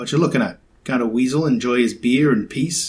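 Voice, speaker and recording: A gruff, put-on character voice from a man, medium in pitch and fairly quick. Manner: irritable, defensive.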